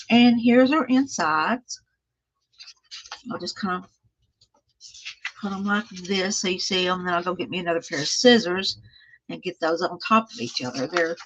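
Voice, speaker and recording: Speaking with a Texan accent, a woman uses a medium pitch and lively intonation at a moderate pace, with long, frequent pauses. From Texas, small town east of Dallas. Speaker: craft livestreamer. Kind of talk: casual craft tutorial livestream.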